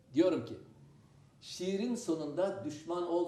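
The speaker talks at a fairly slow pace. Noticeable background noise can be heard. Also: man. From Adana, Turkey. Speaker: theatre actor. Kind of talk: TV talk show guest remarks.

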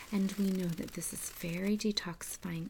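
A somewhat breathy woman at a moderate pace over light background noise. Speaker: presenter. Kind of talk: product review talk. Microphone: phone near.

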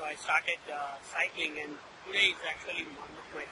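A man speaks at a moderate pace. The sound is dry with no echo, but the background noise is loud. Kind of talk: casual vlog chat and tutorial. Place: street.

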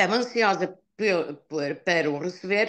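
A woman speaks with lively intonation. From northern Portugal. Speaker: customer giving product testimonial. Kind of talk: testimony. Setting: video call. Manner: halting.

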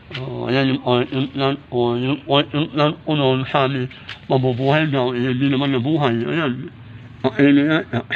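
A man with a medium-pitched voice talks at a very slow pace with fairly even intonation. Noticeable background noise sits behind him. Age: 60s. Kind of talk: casual vlog talk to camera.

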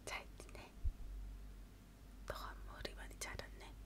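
A woman is whispering. Her pace is very slow. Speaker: ASMR creator playing a friend. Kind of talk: ASMR haircut roleplay. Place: home room. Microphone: earbuds.

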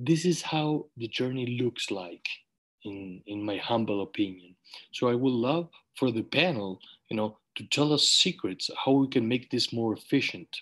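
Speaking with a Spanish accent at a fairly slow pace, the voice shows ordinary pitch variation against a quiet background. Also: man, medium pitch for a man. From Uruguay. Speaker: webinar host, eye surgeon; webinar host. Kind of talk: online panel webinar. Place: home room. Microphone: video call.

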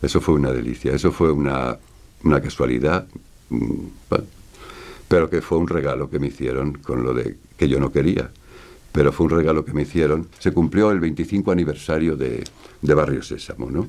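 A man with a very deep, low voice speaks at a moderate pace, showing vocal fry and ordinary pitch variation. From Spain. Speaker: voice actor. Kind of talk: interview answer. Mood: warm, nostalgic. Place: studio.

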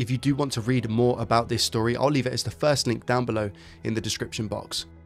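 Faint music plays behind a man speaking. His pitch varies in an ordinary way. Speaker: tech youtuber. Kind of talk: narrated vlog storytelling. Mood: warm, sincere. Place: home room. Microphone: headset.

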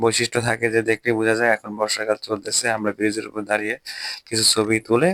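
A man's medium-pitched, monotone, flat delivery, with a dry, close sound and no echo. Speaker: vlogger and teacher. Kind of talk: travel vlog narration. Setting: outdoors on a cycling trip. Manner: casual, conversational.

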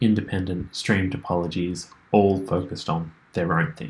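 With a low pitch and fairly even intonation, a man speaks at a fairly slow pace.

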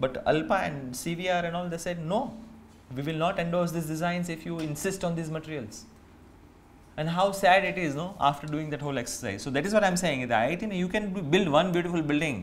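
A man's high-pitched voice at a fairly quick pace. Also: ordinary pitch variation. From India, Saurashtra region of Gujarat; Gujarat. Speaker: architect; speaker. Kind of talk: seminar talk with slides. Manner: hesitant with frequent fillers. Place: hall. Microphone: podium.

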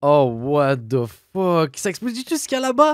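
A man in an animated tone with lively intonation, dry sound with no echo and a quiet background. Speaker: gaming youtuber. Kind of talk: let's play commentary. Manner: fast.

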